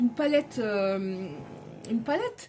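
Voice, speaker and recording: Music can be heard in the background. Over it, a woman talks with lively intonation. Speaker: tarot card reader. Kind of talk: tarot reading. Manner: loud.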